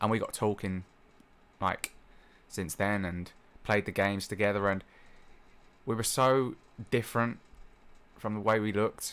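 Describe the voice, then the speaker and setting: A man with a British accent speaks at a fairly low pitch with fairly even intonation. His pace is moderate, with long, frequent pauses. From UK. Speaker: gaming and anime YouTuber. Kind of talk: casual vlog monologue. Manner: halting, many fillers and restarts.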